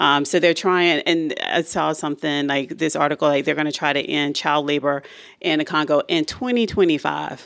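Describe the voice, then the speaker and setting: At a moderate pace, a woman with a very deep, low pitch speaks with ordinary pitch variation in a very clean recording with a silent background. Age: 40s. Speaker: podcast co-host. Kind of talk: casual chat.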